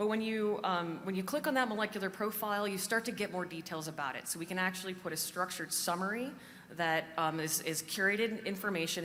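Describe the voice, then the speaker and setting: A woman talks at a fairly quick pace with ordinary pitch variation, and audible room echo surrounds her voice. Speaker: conference speaker, cancer genomics researcher. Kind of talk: conference talk. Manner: fast.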